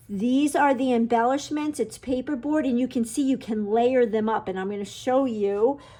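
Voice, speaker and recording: A woman's high-pitched, animated voice against noticeable background noise. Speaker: papercraft product consultant. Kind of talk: product walkthrough.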